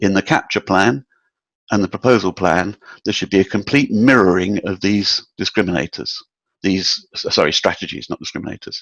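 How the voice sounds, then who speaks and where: A man speaks with a British accent in a fairly low pitch. The sound is dry and close, with no echo. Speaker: proposal and capture management consultant. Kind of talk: webinar presentation. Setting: online webinar. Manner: some hesitations and fillers.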